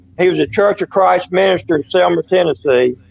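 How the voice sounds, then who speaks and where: A man with a Southern US accent in a dry, close sound with no echo. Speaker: paranormal witness. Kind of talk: casual interview chat. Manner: rambling with fillers and restarts.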